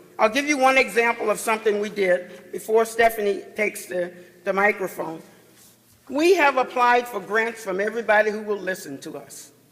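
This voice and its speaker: Speaking at a moderate pace with an American accent, the voice has ordinary pitch variation and big swings in loudness over noticeable background noise. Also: man, high pitch for a man. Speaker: chief judge, panel speaker. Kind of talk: conference panel talk. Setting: conference session with audience.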